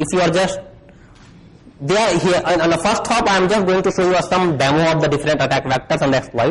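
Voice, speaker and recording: Over noticeable background noise, a man with an Indian accent talks at a fairly quick pace and high pitch. His loudness stays very even, and his pitch varies in an ordinary way. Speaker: security researcher. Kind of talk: conference talk. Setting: stage with audience. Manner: fast.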